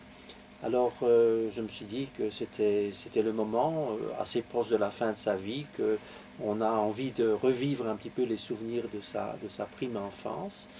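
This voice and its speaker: A man speaks at a fairly slow pace with medium pitch and ordinary pitch variation. Noticeable background noise can be heard. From Belgium, Belgian Lorraine. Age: 70s. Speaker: author. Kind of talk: interview. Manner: halting, many hesitations.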